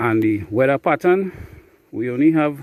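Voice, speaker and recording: A man talks at a moderate pace with a Trinidadian accent. His intonation is lively. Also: very clean recording, silent background. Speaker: beekeeper. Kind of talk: casual vlog narration. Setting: outdoors. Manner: casual, hesitant with fillers.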